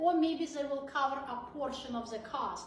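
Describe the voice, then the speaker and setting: A woman's high, raised, projected voice at a fairly slow pace, with lively intonation and audible room echo. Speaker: veterinarian. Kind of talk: live Q&A chat. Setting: live video stream.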